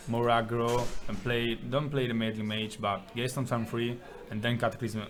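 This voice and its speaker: Over music in the background, a speaker with an Italian accent talks at a moderate pace in a monotone, flat intonation. Audible room echo surrounds the voice. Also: man. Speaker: tournament player. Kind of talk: interview.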